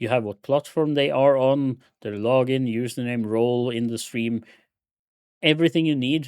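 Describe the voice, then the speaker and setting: This man has a plain, everyday voice at a medium pitch, with ordinary pitch variation. He talks at a moderate pace on a very clean recording with a silent background. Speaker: streamer teaching software. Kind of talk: live stream tutorial. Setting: live stream with chat.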